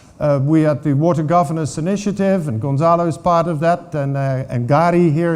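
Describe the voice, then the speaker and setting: Audible room echo surrounds a man who talks at a fairly quick pace with a fairly high pitch and fairly even intonation. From Netherlands. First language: Dutch. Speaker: water governance expert. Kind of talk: conference talk. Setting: stage with audience. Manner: hesitant, many fillers.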